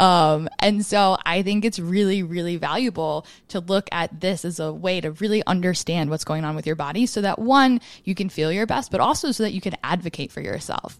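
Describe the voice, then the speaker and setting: A woman with an ordinary speaking voice talks at a fairly quick pace with hardly any pauses, medium pitch and ordinary pitch variation against a quiet background. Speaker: fitness coach and podcast co-host. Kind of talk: casual chat.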